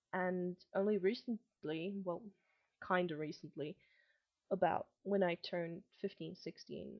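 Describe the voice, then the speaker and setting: A woman's fairly low-pitched voice in a flat monotone. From Germany and Malaysia. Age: 20s. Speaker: vlogger. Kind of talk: casual monologue. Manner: hesitant, many ums.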